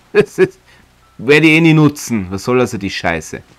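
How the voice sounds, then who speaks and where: A man's voice with music in the background. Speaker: let's play streamer and voice performer. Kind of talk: casual gameplay commentary.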